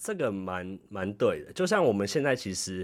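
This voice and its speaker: On a very clean recording with a silent background, a man speaks in a normal speaking voice. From Taiwan. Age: 20s. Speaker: podcast host, office worker in Japan. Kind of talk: casual chat.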